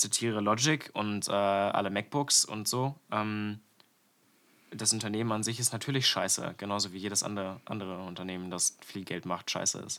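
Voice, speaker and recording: The man's voice is fairly low in pitch, its tone bright and sharp. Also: fairly even intonation, moderate pace. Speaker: podcast co-host. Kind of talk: casual chat. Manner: radio-host style at times.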